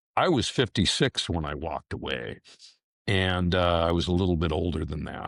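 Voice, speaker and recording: A man with a very deep, low voice and vocal fry speaks at a moderate pace with ordinary pitch variation, the recording very clean with a silent background and a dry, close sound with no echo. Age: 60s. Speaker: retired police detective. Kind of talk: interview.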